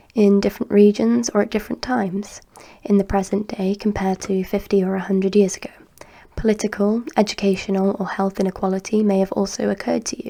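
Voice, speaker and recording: The voice is soft-spoken. It goes at a very fast pace. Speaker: ASMR study channel host reading a course text. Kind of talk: soft-spoken ASMR study reading of a textbook introduction.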